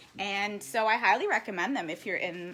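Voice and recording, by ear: With a fairly bright tone, the speech moves at a moderate pace and has lively intonation. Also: woman.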